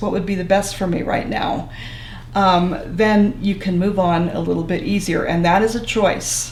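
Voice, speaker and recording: A woman speaks with fairly even intonation amid noticeable background noise and audible room echo. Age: 70s. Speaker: social worker. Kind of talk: interview.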